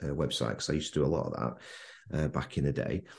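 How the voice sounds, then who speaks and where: A man with a Manchester accent and vocal fry. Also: quiet background. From Manchester, England. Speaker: landscape photographer. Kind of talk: casual interview chat. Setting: remote call.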